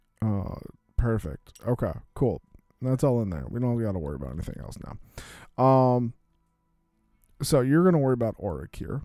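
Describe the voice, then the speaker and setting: With music in the background, a man at medium pitch talks at a fairly quick pace, using very wide pitch swings, big swings in loudness and long, frequent pauses. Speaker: streamer. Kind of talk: casual chat while teaching a card game.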